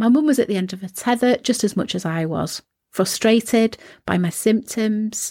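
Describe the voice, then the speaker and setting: A woman's fairly high-pitched voice, somewhat breathy, moves at a moderate pace with ordinary pitch variation. The sound is dry and close with no echo, on a very clean recording with a silent background. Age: 50s. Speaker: wellness podcast host. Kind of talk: solo podcast monologue, partly scripted.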